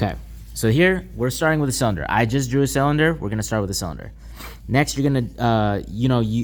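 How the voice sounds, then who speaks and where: Speaking at a medium pitch with lively intonation, a man is heard over audible room echo. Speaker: art teacher. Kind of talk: lecture. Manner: slow.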